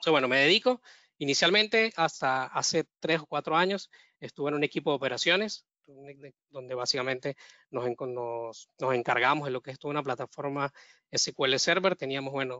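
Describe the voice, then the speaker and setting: A man with a Venezuelan accent, fairly high in pitch, at a fairly quick pace. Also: ordinary pitch variation. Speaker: data engineer. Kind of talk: webinar presentation. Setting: online webinar. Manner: halting, with frequent fillers and repetitions.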